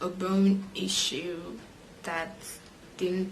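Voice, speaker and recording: With monotone, flat intonation, a woman speaks at a medium pitch through audible room echo and noticeable background noise. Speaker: vlogger. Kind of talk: personal vlog monologue. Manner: hesitant with frequent fillers.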